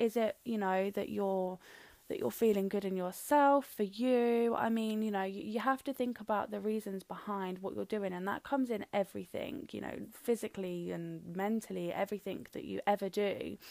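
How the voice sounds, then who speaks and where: This woman has a dark, mellow tone and medium pitch, with ordinary pitch variation, a moderate pace and hardly any pauses. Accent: British. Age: young. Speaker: podcast host. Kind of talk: solo monologue podcast. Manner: casual, with frequent fillers.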